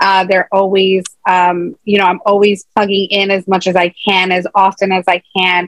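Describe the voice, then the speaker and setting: In an American accent, a woman speaks at a moderate pace with hardly any pauses, very even loudness and monotone, flat intonation, the sound dry with no echo and the background quiet. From Chicago, US Midwest. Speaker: entrepreneur, author and motivational speaker; motivational speaker. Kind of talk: interview; interview answer. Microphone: video call.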